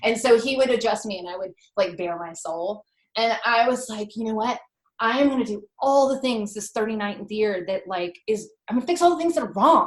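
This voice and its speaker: A woman with a normal speaking voice talks at a moderate pace, fairly high in pitch and lively in intonation. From US South. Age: 40s. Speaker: food blogger. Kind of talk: casual chat. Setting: podcast interview.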